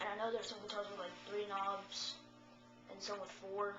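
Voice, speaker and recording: A woman with a medium pitch speaks while music plays in the background. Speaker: guitarist. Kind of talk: casual guitar tutorial.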